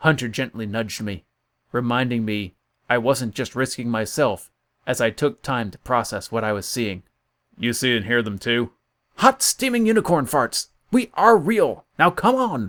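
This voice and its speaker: A man speaks at a moderate pace and medium pitch, with ordinary pitch variation. It is an unremarkable speaking voice, with a dry, close sound and no echo. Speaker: audiobook narrator. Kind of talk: audiobook narration.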